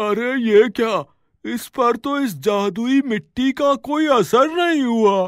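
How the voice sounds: A man does a cartoonish character voice at extremely high pitch and a fairly slow pace, on a very clean recording with a silent background.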